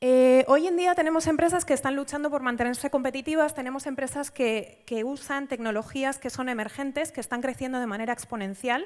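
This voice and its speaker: Someone with a Spanish accent talks at a fairly quick pace on a very clean recording with a silent background. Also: woman. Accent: Spanish (Spain). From Spain. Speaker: data science institute director, conference speaker. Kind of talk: conference talk. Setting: stage at a conference with audience. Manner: frequent fillers (em, eh).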